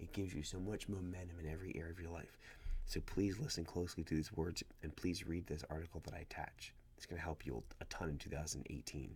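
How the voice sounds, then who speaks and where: Soft-spoken and very fast, a man talks at a very deep, low pitch with vocal fry and ordinary pitch variation. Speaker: small business owner. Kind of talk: casual vlog talk. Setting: at home, child sleeping nearby. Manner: quiet, soft-spoken.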